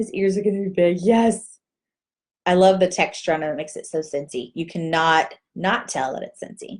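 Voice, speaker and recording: With a Texas accent, a woman talks at a moderate pace over light background noise. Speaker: direct sales team leader. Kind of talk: live video Q&A tutorial. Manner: casual, chatty. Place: home room. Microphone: webcam.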